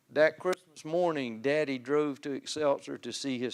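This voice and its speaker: A man in a Southern US accent keeps a moderate pace and fairly even intonation. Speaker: lay speaker giving testimony at church. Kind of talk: testimony. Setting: church pulpit.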